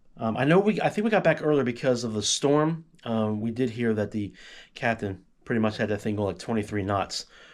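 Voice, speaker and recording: Over a silent background in a very clean recording, a man talks at a fairly quick pace with a medium pitch and ordinary pitch variation. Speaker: travel vlogger. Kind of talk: casual chat. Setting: at home. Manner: fast.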